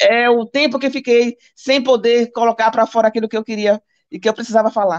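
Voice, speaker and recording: An animated voice with ordinary pitch variation, in a dry, close sound with no echo. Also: woman. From Brazil, Bahia. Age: 60s. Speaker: ex-Jehovah's Witness, guest. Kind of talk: live stream chat. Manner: fast.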